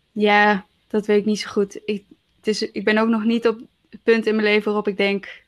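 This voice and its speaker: Over music in the background, a woman with a fairly high pitch talks at a fairly quick pace in a monotone, flat intonation. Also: big swings in loudness. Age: 20s. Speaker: podcast co-host. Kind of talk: casual chat. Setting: remote recording from home.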